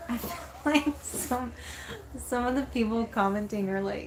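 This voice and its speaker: A woman with an American accent speaks fairly slowly over noticeable background noise. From Texas. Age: 20s. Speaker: van life vlogger. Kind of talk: casual chat. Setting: livestream.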